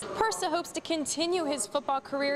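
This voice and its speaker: A woman's intonation is lively, with noticeable noise in the background. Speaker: sports reporter. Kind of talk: sports news reporter delivery.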